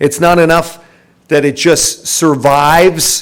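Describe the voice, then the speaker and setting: This man's voice is high in pitch. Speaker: radio host, event emcee. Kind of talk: event hosting. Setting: live event with audience. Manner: loud; animated.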